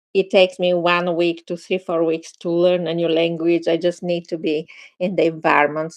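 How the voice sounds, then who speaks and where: Recorded with a dry, close sound and no echo, a woman with a Bulgarian accent speaks at a moderate pace in a fairly low pitch. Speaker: meditation teacher and film producer. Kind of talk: casual chat.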